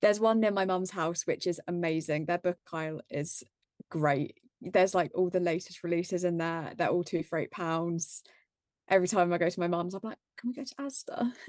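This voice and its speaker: A woman speaks at a fairly low pitch with an English accent. The sound is dry and close with no echo, over a quiet background. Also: ordinary pitch variation, moderate pace. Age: 20s. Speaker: book content creator. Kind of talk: casual chat.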